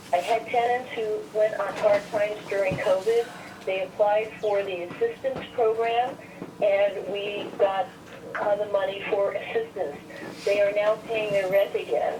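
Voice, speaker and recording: Noticeable background noise accompanies a woman who speaks at a fairly slow pace with medium pitch and fairly even intonation. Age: 70s. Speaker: caller, small landlord. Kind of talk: public comment by phone.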